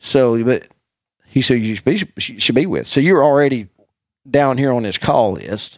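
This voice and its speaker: With lively intonation, a man speaks in an unremarkable speaking voice. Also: medium pitch for a man. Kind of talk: radio DJ-style banter, rapid-fire and overlapping, with co-hosts trading quips.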